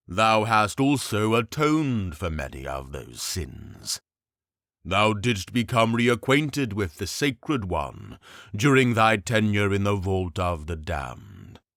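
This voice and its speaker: Using a put-on character voice, a man speaks at a fairly slow pace with a fairly low pitch on a very clean recording with a silent background. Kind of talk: fantasy audiobook reading. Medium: read story. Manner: archaic, stately speech.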